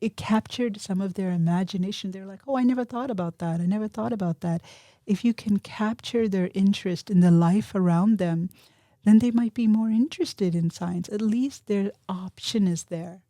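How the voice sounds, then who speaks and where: Speaking with a non-native accent at a moderate pace, a woman uses a medium pitch with ordinary variation and a dark, mellow tone, on a very clean recording with a silent background and a dry, close sound with no echo. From immigrant to US at age five. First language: not English. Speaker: physics professor. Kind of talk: interview.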